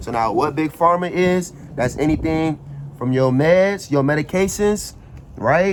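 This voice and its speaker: A man speaks in a fairly high voice with an animated tone. Noticeable background noise runs underneath. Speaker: finance YouTuber. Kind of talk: casual explainer tutorial. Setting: outdoors. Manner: casual, animated.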